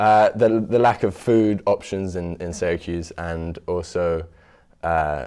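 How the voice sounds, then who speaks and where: A man with a British accent speaks at a very slow pace in a very deep, low voice. His tone is dark and mellow, and the recording is very clean with a silent background. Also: ordinary pitch variation. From London, England. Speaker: student food cart owner. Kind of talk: interview. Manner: halting, with repetitions and fillers.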